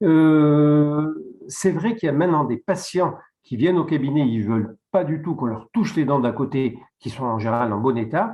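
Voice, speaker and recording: The speaker talks at a moderate pace with lively intonation. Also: man, fairly high pitch for a man. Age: 60s. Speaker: dentist. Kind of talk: webinar presentation. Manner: halting.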